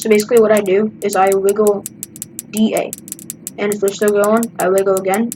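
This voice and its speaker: A woman keeps her intonation fairly even and her pace fairly quick while noticeable background noise plays. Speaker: gaming YouTuber. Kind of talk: gameplay commentary. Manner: quiet.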